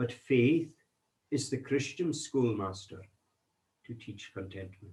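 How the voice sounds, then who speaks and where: Somewhat breathy, a man with a Scottish Highland accent speaks with lively intonation. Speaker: minister. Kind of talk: sermon reading and commentary.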